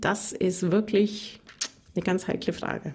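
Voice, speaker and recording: A woman with a Bavarian Swabian accent amid noticeable background noise. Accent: Bavarian Swabian, rolled R. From Bavarian Swabia (Augsburg area). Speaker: radio reporter and trainer. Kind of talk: casual interview chat. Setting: remote call.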